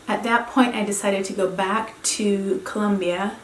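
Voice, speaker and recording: A woman with a Spanish accent speaks at a fairly slow pace with fairly even intonation. The room echoes audibly, and background noise is noticeable. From Venezuela (Caracas). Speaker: professor. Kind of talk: course introduction talk. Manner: halting.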